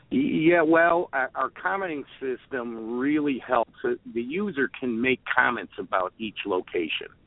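Speaking in a Chicago accent, a man at medium pitch takes a very slow pace. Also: lively intonation, hardly any pauses. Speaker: truck driver and app developer. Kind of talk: phone interview. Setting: phone call.

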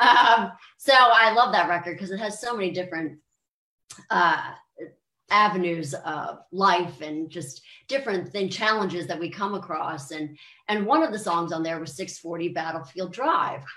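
A woman with an American accent, a fairly low pitch and a bright, sharp tone, at a moderate pace with ordinary pitch variation and big swings in loudness. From US, Maryland. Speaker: country and pop singer. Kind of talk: interview, casual chat. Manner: animated.

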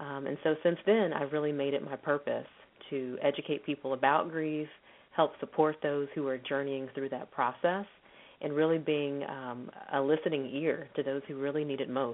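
Speaking at a moderate pace in an American accent, a woman has a very deep, low pitch. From Texas. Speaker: psychologist and professor. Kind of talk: radio interview.

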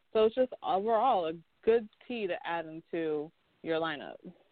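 At a moderate pace and with ordinary pitch variation, a woman talks in an American accent. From North Carolina. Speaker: co-host of a tea podcast. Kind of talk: casual chat.

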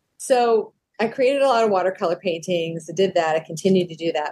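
A woman with an unremarkable speaking voice talks at a fairly quick pace in a medium pitch, with ordinary pitch variation. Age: 60s. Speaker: professional vocalist and artist. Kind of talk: interview conversation.

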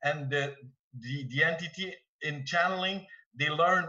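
A man speaks with a Quebec accent. His pitch is fairly high. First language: French. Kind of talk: casual group discussion. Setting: video call. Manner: halting.

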